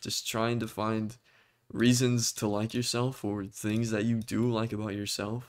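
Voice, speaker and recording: A man's monotone, flat delivery at a fairly slow pace. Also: medium pitch for a man, very clean recording, silent background. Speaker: vlogger. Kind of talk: personal talk to camera.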